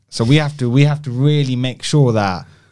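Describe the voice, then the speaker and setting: A man speaks with a London accent in a dark, mellow tone. His intonation is fairly even. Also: very clean recording, silent background. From West London (Southall), England. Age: 40s. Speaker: brand design agency founder. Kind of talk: casual interview.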